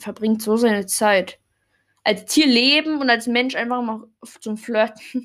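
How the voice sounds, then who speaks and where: At a very slow pace, a woman talks with fairly high pitch and fairly even intonation. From Germany (born in Poland, moved at age one). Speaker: fan podcast host. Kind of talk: casual solo podcast monologue. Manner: hesitant, many fillers and self-corrections.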